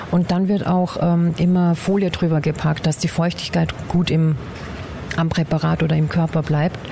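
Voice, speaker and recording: Over noticeable background noise, the voice holds a flat monotone and very even loudness at a moderate pace. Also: woman, fairly low pitch for a woman. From Upper Austria, Bad Ischl. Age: 40s. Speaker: anatomical preparator, former nurse. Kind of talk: interview. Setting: workshop hall. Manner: hesitant, many filler sounds.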